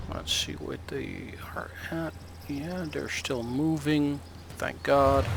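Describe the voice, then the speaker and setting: Over noticeable background noise, a man with a very deep, low voice speaks very slowly, his pitch swinging very widely. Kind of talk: gameplay commentary. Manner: rambling, hesitant.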